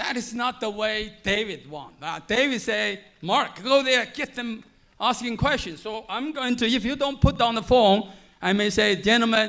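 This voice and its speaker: Animated and high-pitched, a man speaks with a strong Chinese accent and a bright, sharp tone. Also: ordinary pitch variation, moderate pace. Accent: heavy Chinese. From mainland China. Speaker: panel moderator, biotech executive. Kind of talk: panel moderation at conference. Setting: stage with audience.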